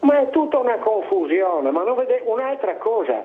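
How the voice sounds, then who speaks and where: Noticeable background noise under a man's moderately paced speech, full of very wide pitch swings. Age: 80s+. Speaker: caller. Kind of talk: call-in complaint. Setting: phone call. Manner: animated.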